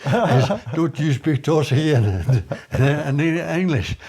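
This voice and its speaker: A man speaks at a fairly high pitch with lively intonation. Noticeable background noise sits behind him. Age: 80s+. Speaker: retired builder. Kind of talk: interview answer.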